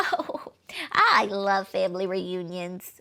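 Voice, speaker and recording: A woman's put-on character voice at medium pitch, delivered at a very slow pace. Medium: read story. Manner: folksy, Southern "y'all" speech.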